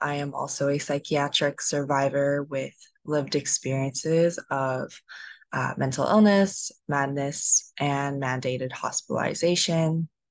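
Dry sound with no echo against a quiet background. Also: woman. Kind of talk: panel self-introduction. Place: home room. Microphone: video call.

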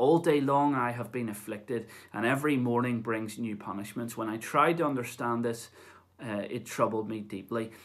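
A man talks at a moderate pace with a fairly bright tone and medium pitch. His pitch varies in an ordinary way.

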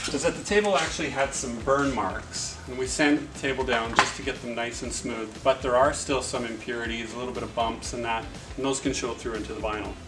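A man talks at a fairly quick pace with clear music playing behind him. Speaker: installer giving a demonstration. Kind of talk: tutorial. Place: cafe. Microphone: camera far.

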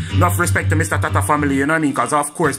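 Over clear music in the background, a man speaks with lively intonation. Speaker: vlogger. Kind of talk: casual talk to camera. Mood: warm, respectful. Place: home room. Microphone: phone near.

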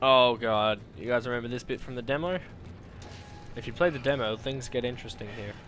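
Someone with an Australian accent talks at a fairly quick pace, with ordinary pitch variation and long, frequent pauses. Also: man, medium pitch for a man. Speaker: gamer. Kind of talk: live gameplay commentary. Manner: casual, joking.

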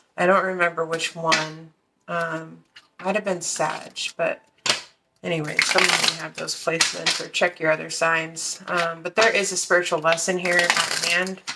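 A woman talks at a moderate speed while loud noise fills the background. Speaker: card reader. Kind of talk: tarot reading commentary. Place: home room.

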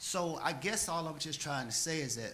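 With audible room echo, a man talks in a bright, sharp tone with ordinary pitch variation. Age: 60s. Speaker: city council member. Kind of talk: council meeting speech. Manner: impassioned.

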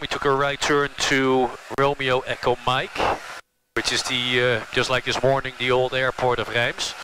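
A man talks at a moderate pace in a dry sound with no echo. There is noticeable background noise. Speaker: pilot vlogger. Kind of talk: casual vlog chat. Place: plane. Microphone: headset.

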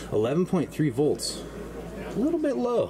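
A man is speaking. Noticeable background noise runs throughout. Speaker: RV vlogger. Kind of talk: casual walkthrough commentary. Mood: enthusiastic, upbeat. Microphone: phone near.

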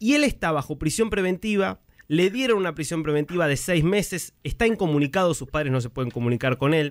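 Speaking at a fairly quick pace, a man with a plain, everyday voice uses lively intonation at a fairly high pitch. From Argentina. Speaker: radio journalist. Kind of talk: radio interview.

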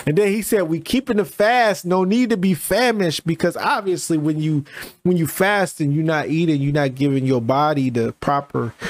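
The man speaks at a moderate pace, and the sound is dry with no echo. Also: lively intonation. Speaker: music reaction streamer. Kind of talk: reaction commentary. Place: home room. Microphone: studio mic.

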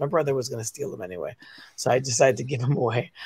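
With a somewhat breathy voice, a man talks at medium pitch and with fairly even intonation. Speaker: teacher and comic creator. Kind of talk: casual chat. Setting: in a car.

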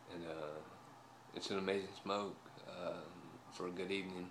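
There's light background noise behind this man's voice. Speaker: pipe smoker vlogger. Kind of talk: casual vlog chat. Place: home room. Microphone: phone near.

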